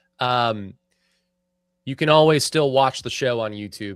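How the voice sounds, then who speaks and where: Recorded dry and close with no echo and a very clean, silent background, a man with an American accent speaks fairly quickly with lively intonation. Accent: self-described hick. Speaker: sports podcast host. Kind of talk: casual chat. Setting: live stream studio.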